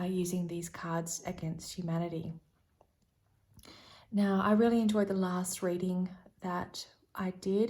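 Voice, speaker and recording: A soft-spoken woman talks at a fairly slow pace. Her tone is dark and mellow, her intonation monotone and flat. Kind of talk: tarot reading, casual talk to camera. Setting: ASMR-style recording. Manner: soft-spoken, rambling, friendly.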